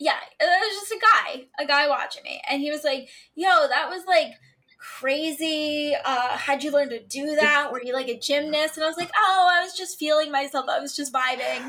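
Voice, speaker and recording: Speaking at a moderate pace, a woman uses a raised, projected voice with a high pitch and ordinary pitch variation. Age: 20s. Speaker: podcast co-host. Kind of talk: casual chat.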